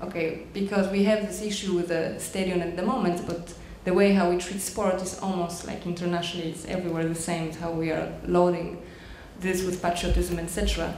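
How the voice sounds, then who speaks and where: A woman speaks with a Polish accent at a fairly low pitch, her intonation monotone and flat, at a fairly quick pace. Noticeable background noise and audible room echo are present. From Poland. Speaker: dance performer. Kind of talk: post-performance audience discussion. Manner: halting.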